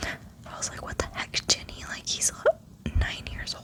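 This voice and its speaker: A woman whispers in a relaxed tone at a fairly slow pace. Noticeable background noise runs underneath. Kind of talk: ASMR ranting monologue, casual talk. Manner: whispered, relaxed.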